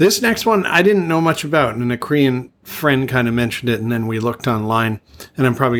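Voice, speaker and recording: A man with an unremarkable speaking voice talks at a medium pitch. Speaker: podcast co-host. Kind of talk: casual chat. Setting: remote call.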